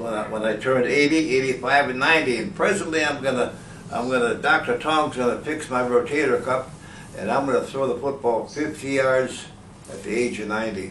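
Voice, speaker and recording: A man at a fairly quick pace with ordinary pitch variation, amid audible room echo and noticeable background noise. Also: medium pitch for a man. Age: 80s+. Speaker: patient, senior athlete. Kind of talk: testimony. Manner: halting.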